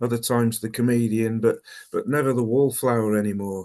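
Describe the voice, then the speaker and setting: Speaking with a Birmingham accent against a quiet background, a man at medium pitch keeps a moderate pace and fairly even intonation. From Birmingham, England. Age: 50s. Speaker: recovering alcoholic speaker. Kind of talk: personal testimony talk. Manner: halting, many fillers and repeats.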